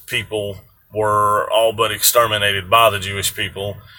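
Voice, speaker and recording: Speaking at a moderate pace in a Southern US accent, the man has a fairly low voice. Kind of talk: casual talk to camera. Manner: relaxed, hesitant.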